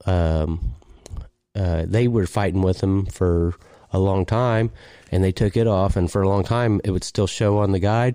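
Dark and mellow in tone, the voice with an American accent moves at a fairly slow pace with fairly even intonation and very even loudness on a very clean recording with a silent background. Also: man, very deep, low pitch for a man. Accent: rural US, slight hillbilly. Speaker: podcast host. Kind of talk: casual chat. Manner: halting, filler-heavy.

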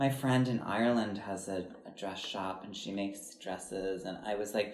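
There's audible room echo and noticeable background noise as a man speaks at a moderate pace in an American accent. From Wisconsin. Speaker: podcast host and choreographer. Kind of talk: casual chat.

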